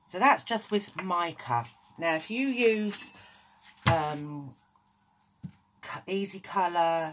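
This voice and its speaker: Very slow speech in a British accent, broken by long, frequent pauses. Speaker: craft tutorial maker. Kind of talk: tutorial.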